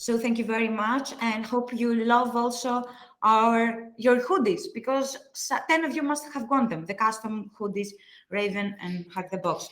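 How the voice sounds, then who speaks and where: At a moderate pace, a woman with a Greek accent talks with ordinary pitch variation. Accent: Greek accent, self-described as horrible. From Greece. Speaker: livestream host. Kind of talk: live stream wrap-up chat. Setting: live stream.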